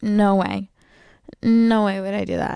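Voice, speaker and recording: Over a quiet background, a woman speaks at medium pitch. Her tone is dark and mellow, her intonation monotone and flat. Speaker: podcast host. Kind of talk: casual chat. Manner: casual, filler-heavy.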